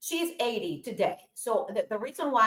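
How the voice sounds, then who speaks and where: Lively intonation marks this voice with a Spanish accent. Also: woman. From Colombia. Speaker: aerospace engineer and entrepreneur. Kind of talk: interview conversation.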